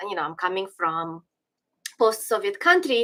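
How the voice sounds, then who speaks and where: With a Ukrainian accent, a woman speaks in a bright, sharp tone, her pitch swinging very widely. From western Ukraine (Galicia, Lviv area). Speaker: political commentator. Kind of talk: livestream commentary. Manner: hesitant, many fillers and restarts.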